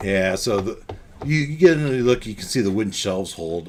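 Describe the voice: Lively intonation lifts a plain reading aloud.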